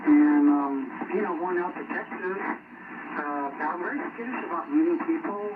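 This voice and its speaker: There is noticeable background noise along with audible room echo. The voice is a man's. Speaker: CB radio operator. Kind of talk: radio chat. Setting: radio transmission. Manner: loud.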